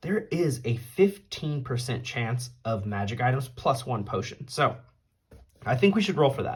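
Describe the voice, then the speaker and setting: Speaking at a fairly slow pace, a man with a medium pitch sounds somewhat breathy, his intonation lively. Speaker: tabletop game player and video creator. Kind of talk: solo tabletop game playthrough narration. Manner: casual, conversational.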